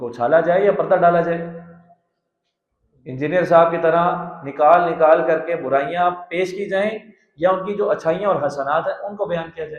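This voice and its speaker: A man's high voice, with big swings in loudness and ordinary pitch variation. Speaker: Islamic scholar giving a tafseer lecture. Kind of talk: religious lecture (Quran tafseer sermon in Urdu).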